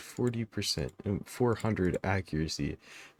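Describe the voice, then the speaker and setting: A man's fairly slow speech, dry and close with no echo. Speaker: gaming YouTuber. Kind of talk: game tutorial. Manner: casual; halting, self-correcting.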